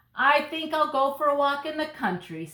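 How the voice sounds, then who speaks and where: A put-on character voice, high in pitch, at a moderate pace. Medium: read story. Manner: sing-song street calling.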